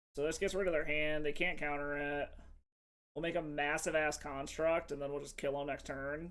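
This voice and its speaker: This man speaks at a fairly high pitch and a moderate pace with monotone, flat intonation. Audible room echo surrounds his voice. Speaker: MTG streamer. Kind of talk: live game commentary. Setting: home stream. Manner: loud.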